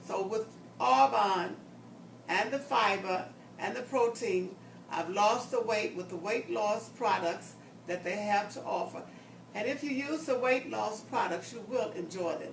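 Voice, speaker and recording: Delivered at a fairly slow pace, the speech has lively intonation and audible room echo. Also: woman, medium pitch for a woman. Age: 70s. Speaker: customer giving a testimonial. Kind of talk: testimony.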